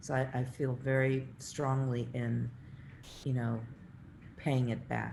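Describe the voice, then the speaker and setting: A woman's very deep, low, somewhat breathy voice with a dark, mellow tone, monotone, flat intonation and a fairly slow pace, in audible room echo. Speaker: architect and professor. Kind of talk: lecture Q&A.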